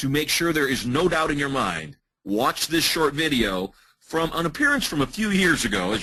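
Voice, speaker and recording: Bright and sharp in tone, a man with an American accent talks with vocal fry. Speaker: hypnotist and business trainer. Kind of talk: webinar presentation.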